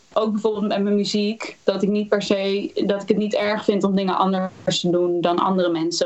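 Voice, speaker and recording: Over noticeable background noise, a woman talks at a moderate pace with medium pitch and fairly even intonation. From Netherlands, Utrecht area (Houten). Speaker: singer-songwriter. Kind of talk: interview.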